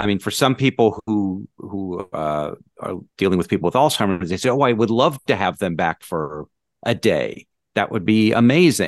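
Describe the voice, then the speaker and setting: An unremarkable speaking voice moves at a moderate pace with lively intonation, recorded with a dry, close sound with no echo over a quiet background. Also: man, fairly low pitch for a man. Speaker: podcast co-host. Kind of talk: casual chat.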